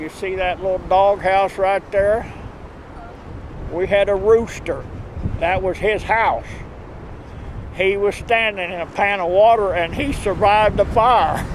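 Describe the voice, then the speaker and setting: Over noticeable background noise, a man with a high pitch speaks at a fairly slow pace with fairly even intonation and long, frequent pauses. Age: 70s. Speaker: farmer, fire victim. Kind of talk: news interview.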